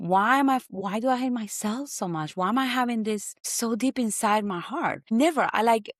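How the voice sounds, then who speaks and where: The speaker is a woman with a Spanish accent. She talks at a fairly high pitch. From Colombia. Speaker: guest sharing personal testimony. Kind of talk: testimony.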